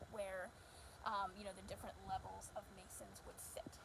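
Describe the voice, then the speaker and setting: A woman speaks quietly at a fairly slow pace. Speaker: local historian giving a tour. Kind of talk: live walkthrough tour. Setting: indoors on location, filming live. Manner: speaking quietly.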